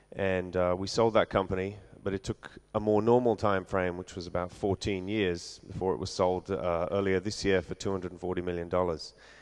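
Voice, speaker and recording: Fairly even intonation in an English accent, over a quiet background. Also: man. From London, England. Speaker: venture capital investor. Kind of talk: conference talk.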